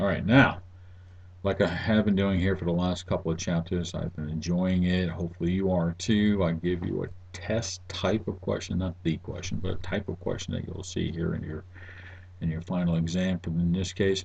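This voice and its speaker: A man talks at a moderate pace in a very deep, low voice that is somewhat breathy. His intonation is monotone and flat. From New England. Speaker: university instructor. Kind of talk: lecture. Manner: casual, halting with fillers.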